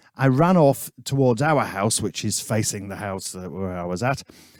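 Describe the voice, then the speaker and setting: With a Yorkshire accent, a man talks at a moderate pace with very wide pitch swings. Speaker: musician, podcast co-host. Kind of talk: casual chat.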